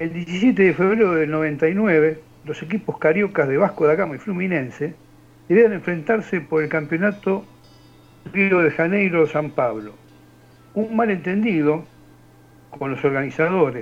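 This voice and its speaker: A man speaks at a high pitch, leaving long, frequent pauses. Music plays in the background. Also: ordinary pitch variation, fairly slow pace. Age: 60s. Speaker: radio show panelist. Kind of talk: joke telling and reading news.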